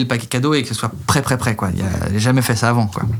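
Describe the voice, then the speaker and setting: This man rattles along at a very fast pace, his medium-pitched voice holding fairly even intonation. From France. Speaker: singer. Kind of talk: interview. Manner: halting, many fillers.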